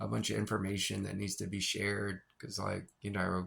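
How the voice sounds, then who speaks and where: Talking at a fairly quick pace, a man with a fairly low pitch has a bright, sharp tone, a relaxed tone and vocal fry. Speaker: spiritual vlogger. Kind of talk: casual monologue. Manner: fast at times.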